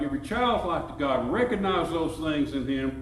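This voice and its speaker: Amid noticeable background noise and audible room echo, a man with an Alabama accent speaks at a moderate pace with lively intonation. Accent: Southern US (Alabama). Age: 70s. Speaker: pastor. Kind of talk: sermon.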